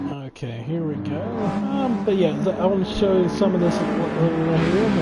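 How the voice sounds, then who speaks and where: Speaking at a fairly slow pace with lively intonation, a man has a high-pitched voice. Audible room echo and noticeable background noise fill the recording. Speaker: gaming streamer. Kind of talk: live gameplay commentary. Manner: soft-spoken. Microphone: mic slightly quiet, kept away from face.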